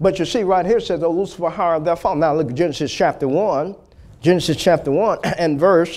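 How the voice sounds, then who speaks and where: A man at a fairly quick pace, high-pitched and animated, with ordinary pitch variation. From US South. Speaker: preacher. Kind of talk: sermon. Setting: church. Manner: animated, fervent preaching cadence with call-and-response prompts like 'Say amen'; exhortative, punchy repetition of key words for emphasis. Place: church. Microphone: lapel.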